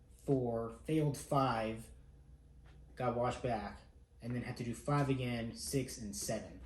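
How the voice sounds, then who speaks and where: A man speaks with ordinary pitch variation and a somewhat breathy voice. Audible room echo surrounds him. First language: not English. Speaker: air force airman and family vlogger. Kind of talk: vlog monologue. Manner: casual.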